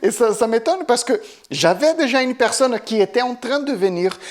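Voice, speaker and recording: A woman speaks at a fairly high pitch. She talks with a Portuguese accent. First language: Portuguese (speaking French). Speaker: Portuguese teacher. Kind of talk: casual vlog monologue. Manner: halting, many fillers and repetitions.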